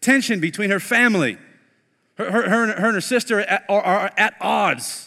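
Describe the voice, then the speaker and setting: A man speaks at a moderate pace in a raised, projected voice. His pitch is high and his tone bright and sharp. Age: 30s. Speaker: pastor. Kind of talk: sermon. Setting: online streamed church service. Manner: animated.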